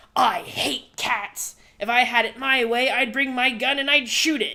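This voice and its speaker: A woman's high-pitched put-on character voice at a moderate pace. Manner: cruel, menacing.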